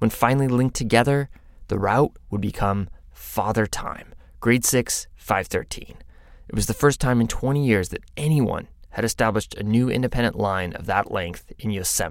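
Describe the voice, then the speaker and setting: A plain, everyday voice from a man, medium in pitch, moderate in pace, with ordinary pitch variation. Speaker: podcast narrator. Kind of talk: scripted narration.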